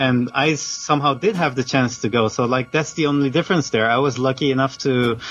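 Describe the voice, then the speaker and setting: A man's medium-pitched voice in a Dutch accent at a fairly quick pace with hardly any pauses, ordinary pitch variation, and very even loudness, over noticeable background noise. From Netherlands. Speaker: video game journalist. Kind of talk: casual interview. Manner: halting, frequent fillers and restarts.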